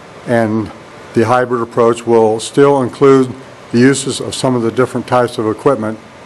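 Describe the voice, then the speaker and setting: A man's medium-pitched, fairly even-toned voice amid noticeable background noise. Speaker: college instructor. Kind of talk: classroom tour walkthrough. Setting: empty classroom. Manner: monotone; halting, many fillers.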